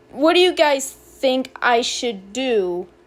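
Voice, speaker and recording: A woman with an American accent speaks at a very slow pace in a high pitch. She mumbles, with lively intonation. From US. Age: young. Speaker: youtuber. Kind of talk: casual vlog. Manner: mumbling.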